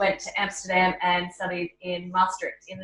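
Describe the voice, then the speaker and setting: Here a woman talks in an Australian accent. Her pitch is medium and her pace moderate. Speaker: travel blogger. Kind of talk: interview.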